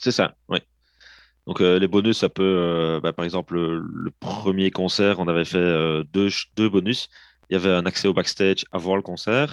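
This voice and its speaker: In a dry, close recording with no echo and a quiet background, a man speaks at a very deep, low pitch and a fairly slow pace, with fairly even intonation. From Belgium, province of Liège. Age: 30s. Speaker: drummer and percussionist, project founder. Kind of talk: interview.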